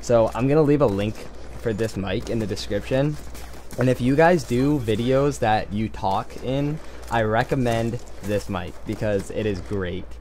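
Fairly slow delivery with ordinary pitch variation and light background noise. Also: man. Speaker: gaming video creator. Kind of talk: casual vlog chat. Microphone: headset.

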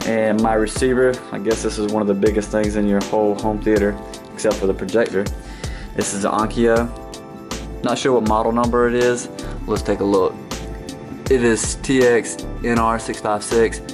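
Clear music plays in the background. The voice keeps a fairly even intonation with long, frequent pauses. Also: man, fairly low pitch for a man, moderate pace. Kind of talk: casual vlog tour. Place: home room. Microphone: phone near.

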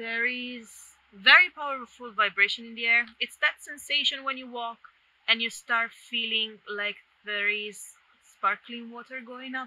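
A woman with a high pitch and a bright, sharp tone speaks at a fairly slow pace with fairly even intonation, in a dry sound with no echo. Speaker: vlogger. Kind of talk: casual vlog chat. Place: forest. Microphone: phone near.

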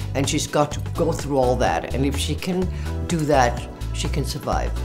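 A woman talks at a moderate pace while clear music sounds behind her. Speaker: fashion model. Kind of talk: interview answer. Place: studio.

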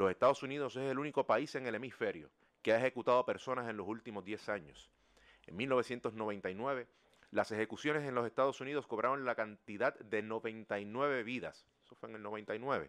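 At a moderate pace over a quiet background, the speaker uses ordinary pitch variation while the loudness swings widely. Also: man, medium pitch for a man. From Puerto Rico. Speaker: lawyer and human rights advocate. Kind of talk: formal testimony at a hearing. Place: hall. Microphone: podium.

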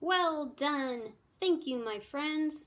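In a put-on character voice, a woman speaks very slowly at a high pitch, with lively intonation and a fairly bright tone.

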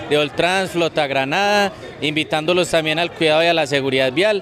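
This man talks at a moderate pace with a fairly high pitch. The sound is dry with no echo, and there is noticeable background noise. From Colombia. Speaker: traffic authority official. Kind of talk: interview statement. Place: street. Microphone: handheld.

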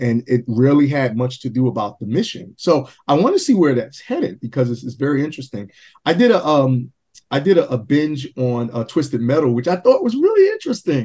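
Over a quiet background, a man talks at a fairly quick pace with lively intonation and a dark, mellow, somewhat breathy tone. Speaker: independent filmmaker; podcast guest. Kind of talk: casual interview. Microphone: webcam.

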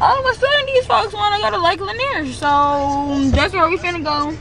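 A raised, projected voice moves at a fairly quick pace with very wide pitch swings. The sound is dry with no echo, with crowd noise in the background. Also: woman. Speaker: vlogger. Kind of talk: casual vlog chat. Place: car. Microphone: phone near.

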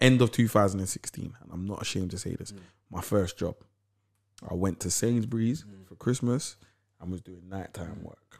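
In a London accent, a man with a fairly low pitch speaks at a moderate pace, with long, frequent pauses, big swings in loudness and ordinary pitch variation over a quiet background. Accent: London Multicultural English. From London, Camden/Lewisham. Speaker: podcast co-host. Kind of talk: casual interview chat. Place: studio. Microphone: studio mic.

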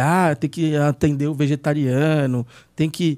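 A man speaks with a fairly high pitch. The background is quiet. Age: 40s. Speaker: podcast host, burger blogger; podcast host or guest. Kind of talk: casual chat. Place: studio. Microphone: studio mic.

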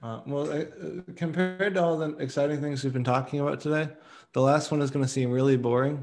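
A man speaks at a very fast pace over light background noise. His voice is fairly high for a man, with fairly even intonation. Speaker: meeting facilitator, open-source working group. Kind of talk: work meeting discussion. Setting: video call. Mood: light, self-deprecating. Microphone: video call.

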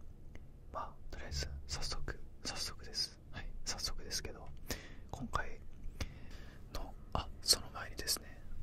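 A soft-spoken man whispers at a very slow pace. The sound is dry with no echo, with noticeable background noise behind him. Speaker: vlogger. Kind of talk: casual vlog chat. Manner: soft close-mic whisper. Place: home room. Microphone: studio mic.

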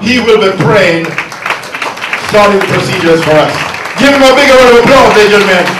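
Amid noticeable background noise and audible room echo, a man speaks at a fairly quick pace. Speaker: event emcee / master of ceremonies. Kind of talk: public event hosting speech. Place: hall.

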